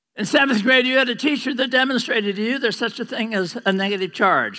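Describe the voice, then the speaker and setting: With a bright, sharp tone, a man speaks in a raised, projected voice with ordinary pitch variation. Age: 80s+. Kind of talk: lecture. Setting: stage with audience. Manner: animated.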